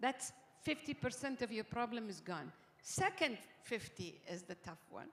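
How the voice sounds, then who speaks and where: A woman's fairly high voice in a Gulf Arabic accent, with very wide pitch swings, big swings in loudness and a moderate pace. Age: 60s. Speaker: summit panel speaker. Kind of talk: panel interview. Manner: code-switching Arabic and English.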